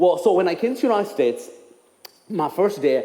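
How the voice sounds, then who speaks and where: A man speaks with a Ugandan accent and lively intonation. Room echo is audible. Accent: Ugandan English (jokes it is North Carolina). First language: Ugandan language; English is his fourth. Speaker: speaker for a charity. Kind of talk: testimony. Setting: church.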